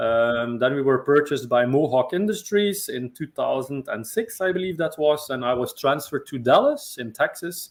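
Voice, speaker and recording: This man has a Belgian accent and a fairly high pitch. He talks at a moderate pace with lively intonation and hardly any pauses. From Belgium. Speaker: sales and marketing executive. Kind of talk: interview.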